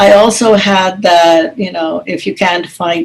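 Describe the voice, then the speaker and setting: With an American accent, a woman speaks very slowly in a fairly low voice with vocal fry and ordinary pitch variation. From United States and Madras, India. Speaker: author and academic. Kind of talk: casual chat. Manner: halting.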